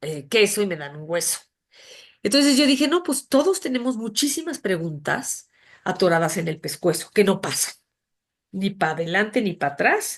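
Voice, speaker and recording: An unremarkable speaking voice moves at a moderate pace with lively intonation against a quiet background. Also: woman. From Mexico City. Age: 60s. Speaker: author and graphic designer. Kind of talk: interview conversation.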